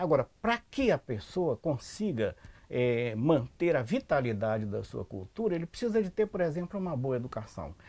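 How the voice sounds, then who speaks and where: This man's fairly high voice is somewhat breathy and swings very widely in pitch. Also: moderate pace. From Salvador, Bahia, Brazil. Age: 70s. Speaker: anthropologist. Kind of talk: interview. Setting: at his home.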